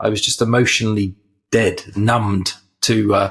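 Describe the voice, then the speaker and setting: With an English accent, a man speaks at a medium pitch and moderate pace, somewhat breathy, his intonation fairly even. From England. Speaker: mental health ministry leader, former pastor. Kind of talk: podcast interview.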